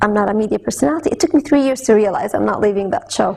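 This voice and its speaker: Fairly quick speech from a woman with very wide pitch swings, over noticeable background noise. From Saudi Arabia. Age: young. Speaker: television host. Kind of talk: interview.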